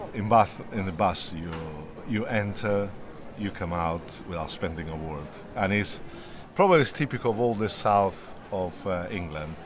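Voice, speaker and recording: A man with an Italian accent at a fairly low pitch and a moderate pace, ordinary pitch variation, audible room echo and music in the background. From Italy. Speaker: interviewee, long-time resident. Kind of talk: interview.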